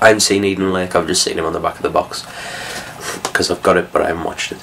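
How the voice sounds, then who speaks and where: A man mumbling at a very fast pace over noticeable background noise. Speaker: film reviewer. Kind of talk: casual talk to camera. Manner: hesitant, mumbling.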